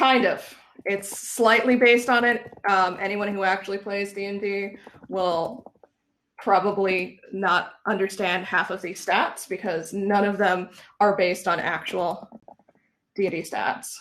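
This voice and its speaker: The woman has an ordinary speaking voice at medium pitch. She talks at a fairly slow pace with fairly even intonation. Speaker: UX researcher leading a workshop. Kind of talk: interactive online workshop.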